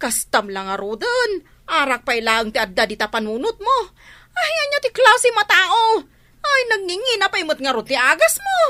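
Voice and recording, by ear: This put-on character voice has a bright, sharp tone and big pitch swings. It moves at a moderate pace. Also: woman, extremely high pitch for a woman.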